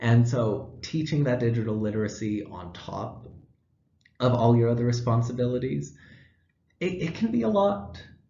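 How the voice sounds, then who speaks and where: Very wide pitch swings mark a somewhat breathy voice. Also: man. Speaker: student teacher. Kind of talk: class presentation. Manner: fast.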